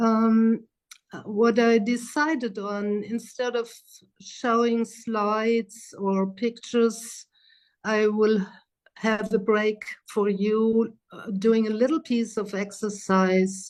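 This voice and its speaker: A woman speaks in a German accent at a very slow pace. Her intonation is monotone and flat. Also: fairly high pitch for a woman. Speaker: psychotherapist and trainer. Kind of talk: lecture. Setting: video call. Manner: hesitant.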